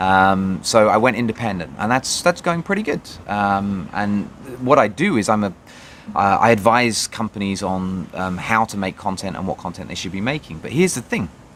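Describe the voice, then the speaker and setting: Fairly low in pitch, a man with a British accent talks at a moderate pace with ordinary pitch variation. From Britain. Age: 30s. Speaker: vlogger. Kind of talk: personal video diary. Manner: halting, many fillers.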